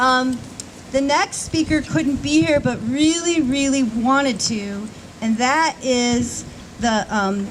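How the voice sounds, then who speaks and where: A woman's high-pitched voice with lively intonation and a very slow pace, over noticeable background noise. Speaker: ceremony emcee. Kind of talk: ceremony introduction. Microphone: may be too far from microphone.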